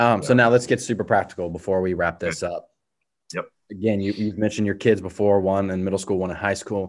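In a very clean recording with a silent background, a man talks at a very fast pace with a fairly low pitch and fairly even intonation. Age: 20s. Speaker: podcast host, student ministry leader. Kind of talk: casual interview conversation.

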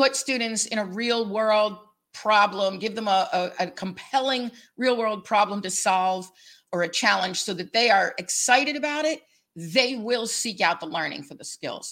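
A woman speaks in a plain, everyday voice at a fairly high pitch and a moderate pace. Her intonation is lively, her loudness swings widely, and the recording is very clean with a silent background. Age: 60s. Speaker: podcast host. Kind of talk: interview.

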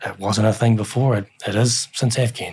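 Speaking in a New Zealand accent, a man sounds somewhat breathy with monotone, flat intonation. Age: 40s. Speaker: military chaplain. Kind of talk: interview testimony.

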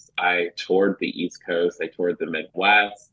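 A man talks in a very deep, low-pitched voice. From Chicago area, later northern Virginia. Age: 30s. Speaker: school psychologist and children's author. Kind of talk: radio interview.

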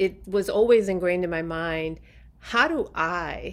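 A plain, everyday voice comes from a woman with a fairly low pitch and ordinary pitch variation. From New York City and Puerto Rico. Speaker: impact investment fund CEO. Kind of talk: interview. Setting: podcast interview.

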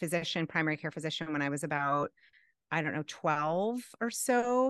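Someone with an American accent is heard in a dry, close sound with no echo and a quiet background. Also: woman. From Boston area, Massachusetts. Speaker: life coach and professor. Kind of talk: interview conversation. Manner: animated.

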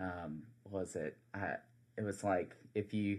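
A man speaks at a fairly low pitch. His intonation is fairly even. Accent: South Carolina. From US South, South Carolina Low Country. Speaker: campus minister. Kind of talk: casual interview. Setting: studio. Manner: hesitant, many fillers.

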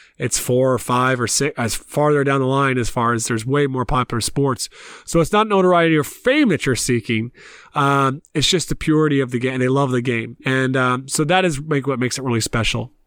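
On a very clean recording with a silent background, a man speaks in an ordinary speaking voice at medium pitch and a fairly quick pace, with ordinary pitch variation and very even loudness. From US South, Columbia, South Carolina. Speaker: basketball coach and coaching business founder. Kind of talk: casual interview.

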